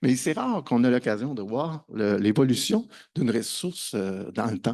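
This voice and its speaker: In a slight Quebec accent, a man talks at a moderate pace with medium pitch and ordinary pitch variation. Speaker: conference speaker on open educational resources. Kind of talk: conference presentation. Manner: hesitant, many fillers and repetitions.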